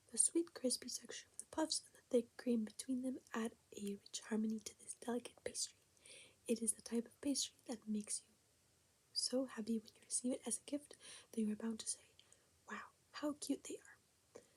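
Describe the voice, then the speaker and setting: Soft-spoken and high-pitched, a woman talks with ordinary pitch variation, big swings in loudness, and long, frequent pauses. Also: moderate pace. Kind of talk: ASMR reading aloud from a recipe book.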